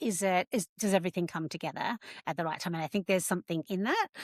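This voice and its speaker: Spoken very fast with an Australian accent, the voice has a dry, close sound with no echo on a very clean recording over a silent background. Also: woman. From rural Australia. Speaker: podcast host. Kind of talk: podcast interview.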